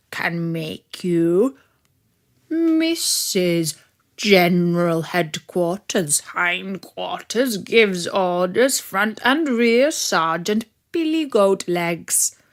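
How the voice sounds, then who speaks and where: A woman puts on a character voice at medium pitch with very wide pitch swings. She speaks at a very slow pace in a very clean recording with a silent background. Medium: read story. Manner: bossy, self-important.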